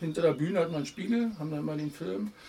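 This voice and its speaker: A very fast-talking man with a fairly high pitch and lively intonation, amid noticeable background noise. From Berlin (Kreuzberg/Neukölln). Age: 50s. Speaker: former amateur footballer and punk musician. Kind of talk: casual interview. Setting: outdoors in a garden.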